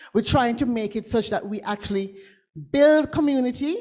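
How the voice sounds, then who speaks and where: A high-pitched woman with a Jamaican accent, an animated tone, and a moderate pace. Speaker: futurist. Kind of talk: conference talk with audience exercise.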